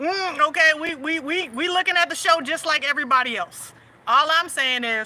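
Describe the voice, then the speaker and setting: Her voice raised and projected, a woman speaks with ordinary pitch variation. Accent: Southern US. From US South. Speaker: livestream host and faith/family coach. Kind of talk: casual livestream chat.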